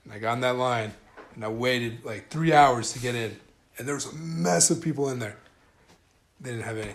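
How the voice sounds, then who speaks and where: A man with an American accent talks at a fairly quick pace, with big swings in loudness and long, frequent pauses. Audible room echo and noticeable background noise fill the recording. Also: medium pitch for a man, ordinary pitch variation. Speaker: podcast host. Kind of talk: casual chat. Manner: laid back.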